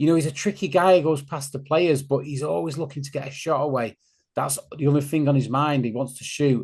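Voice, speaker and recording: A somewhat breathy man with a Greater Manchester accent, fairly high in pitch, with ordinary pitch variation and a quiet background. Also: fairly quick pace. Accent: local Stockport accent, obvious. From northern England, Stockport. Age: 50s. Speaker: football fan podcaster. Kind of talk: casual chat.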